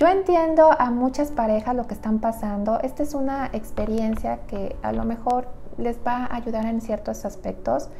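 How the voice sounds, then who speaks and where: A woman speaks at a moderate pace with a fairly high pitch. Her pitch varies in an ordinary way, with light background noise. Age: 30s. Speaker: nutritionist. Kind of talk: personal story vlog. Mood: reflective personal story. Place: home room. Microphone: lapel.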